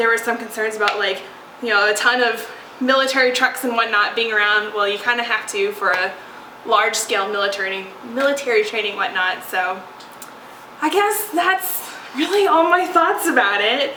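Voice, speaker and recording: Lively intonation amid audible room echo and noticeable background noise. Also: woman, fairly high pitch for a woman, moderate pace. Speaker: podcast host. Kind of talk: casual chat. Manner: hesitant, many fillers.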